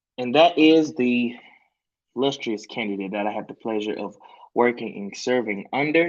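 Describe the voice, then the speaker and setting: A man with a Memphis accent speaks at a moderate pace and medium pitch, his intonation lively and his loudness swinging widely. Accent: US Southern (Memphis). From Memphis, Tennessee. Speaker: campaign volunteer, panel moderator. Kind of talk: online panel moderation. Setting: video call livestream.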